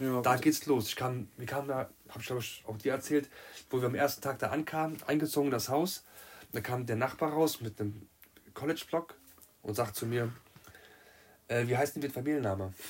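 A man with a medium pitch and ordinary pitch variation talks at a fairly quick pace, sounding somewhat breathy and leaving long, frequent pauses. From Germany, Marburg (Hesse). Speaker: amateur footballer. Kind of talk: casual chat.

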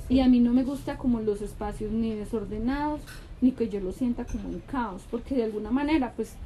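At a fairly high pitch, a woman talks at a fairly quick pace. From Colombia. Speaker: podcast co-host, mother. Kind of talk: casual chat. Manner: animated.

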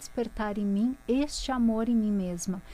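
At a moderate pace, a woman talks in an unremarkable speaking voice, fairly high in pitch with ordinary pitch variation. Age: 30s. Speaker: author and spiritual mentor. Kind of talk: personal testimony in interview.

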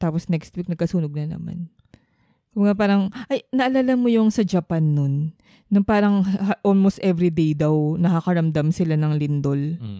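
On a very clean recording with a silent background, a woman with a dark, mellow tone and fairly low pitch speaks at a moderate pace with lively intonation. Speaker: podcast co-host. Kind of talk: casual chat.

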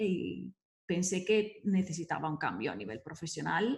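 With an Italian accent and vocal fry, a woman talks in a fairly low pitch with lively intonation. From Italy (Verona). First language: Italian (speaking Spanish). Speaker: business coach and entrepreneur. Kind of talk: interview conversation.

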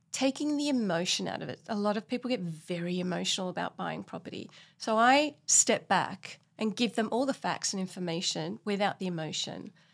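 In an Australian accent, a woman speaks at a fairly quick pace with hardly any pauses. Her medium pitch carries lively intonation on a very clean recording with a silent background. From Australia (Sydney). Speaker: buyer's agent. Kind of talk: interview.

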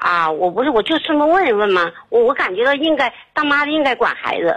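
A high-pitched woman's voice with very wide pitch swings and very even loudness. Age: 50s. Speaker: caller. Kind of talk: phone call to radio show. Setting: phone call. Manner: rambling, halting.

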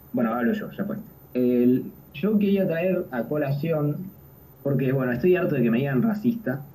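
A man with a fairly high voice talks at a moderate pace, his pitch swinging very widely. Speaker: podcast host. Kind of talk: history talk.

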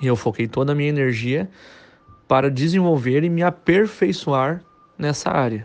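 Lively in intonation, a man talks at a moderate pace in a fairly high voice. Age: 30s. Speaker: musician and music teacher. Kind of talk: casual monologue to camera.

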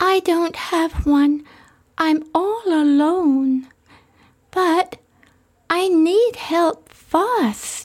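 A woman puts on a character voice, breathy and extremely high-pitched. She speaks very slowly, with long, frequent pauses. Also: ordinary pitch variation. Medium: audio drama. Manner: sweet, breathy.

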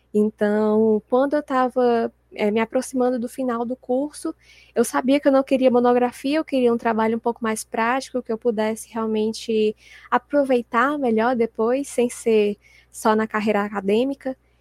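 A woman with an unremarkable speaking voice talks at a fairly high pitch and a moderate pace. Her intonation is fairly even, and the sound is dry and close with no echo. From Brazil, Fortaleza, Ceará. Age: 20s. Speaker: sports journalist and author. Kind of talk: casual interview chat.

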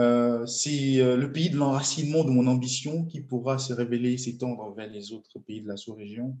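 The delivery holds a moderate pace with hardly any pauses and fairly even intonation, yet shows big swings in loudness. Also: man, medium pitch for a man. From Benin. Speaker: transport engineer and entrepreneur. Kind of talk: interview. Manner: hesitant, many fillers.

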